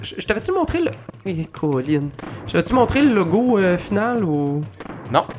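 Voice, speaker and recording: A man speaks in a high voice at a fairly slow pace, with very wide pitch swings, long and frequent pauses, and noticeable background noise. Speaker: podcast host. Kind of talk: casual chat while playing video games.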